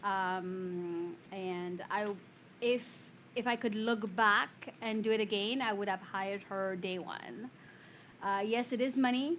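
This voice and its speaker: Speaking at a fairly slow pace with long, frequent pauses, a woman with a French accent uses a medium pitch and ordinary pitch variation. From France, Paris. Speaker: real estate agent. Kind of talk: panel discussion.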